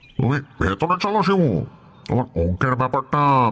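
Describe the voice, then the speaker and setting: A man does a put-on character voice at a medium pitch, speaking at a fairly slow pace. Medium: audio drama. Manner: smooth, overly friendly.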